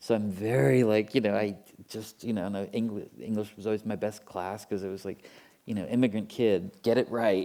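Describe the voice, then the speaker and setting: Very clean and silent in the background, the recording has a man speaking at a fairly quick pace in a fairly low pitch with a dark, mellow tone. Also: fairly even intonation. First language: German or French. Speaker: writer and writing teacher. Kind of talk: panel discussion Q&A.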